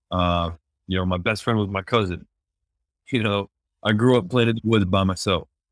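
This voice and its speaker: With an American accent, a man speaks at a moderate pace in fairly even intonation, pausing long and often. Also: fairly low pitch for a man. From Pennsylvania, US East Coast. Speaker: professional volleyball player. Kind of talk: casual interview. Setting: remote call from abroad.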